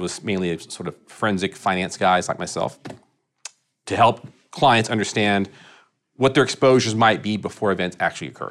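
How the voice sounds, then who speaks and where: This is an ordinary speaking voice from a man with an American accent. He talks at a fairly quick pace with a fairly low pitch and ordinary pitch variation. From Texas (Irving, Dallas area). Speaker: construction insurance risk executive. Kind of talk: interview.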